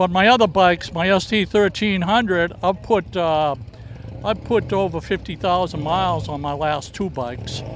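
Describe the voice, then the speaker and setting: A man speaks with a Boston accent, his pitch high for a man. He talks at a moderate pace over noticeable background noise. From US Northeast, Boston area (Dorchester). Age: 70s. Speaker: motorcycle owner at a show. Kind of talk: casual interview. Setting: outdoors at a fairground show. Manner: hesitant, many filler words.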